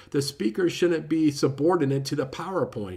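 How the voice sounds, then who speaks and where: This man's voice is fairly high in pitch and somewhat breathy, with lively intonation. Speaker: book reviewer. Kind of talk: casual book review talk. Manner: fast; lots of filler words.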